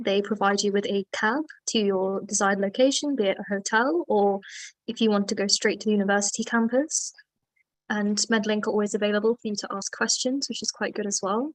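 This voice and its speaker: With a British accent, a woman speaks fairly quickly and with fairly even intonation. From UK. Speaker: medical student. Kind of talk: webinar interview.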